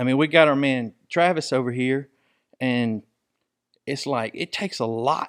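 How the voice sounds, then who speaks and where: A man with an American accent at a fairly slow pace, long, frequent pauses and ordinary pitch variation, in a dry, close sound with no echo and a very clean recording with a silent background. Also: medium pitch for a man. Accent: southern rural, self-described redneck. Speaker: sports podcast host. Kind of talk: casual chat. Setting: studio. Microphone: studio mics and headphones.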